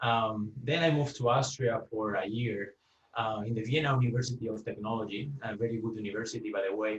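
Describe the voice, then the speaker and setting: Speaking in a Spanish accent, a man keeps a fairly quick pace. His medium pitch carries fairly even intonation. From Spain. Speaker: UX engineer, guest speaker. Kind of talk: presentation talk. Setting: video call. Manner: halting, many fillers and repeats.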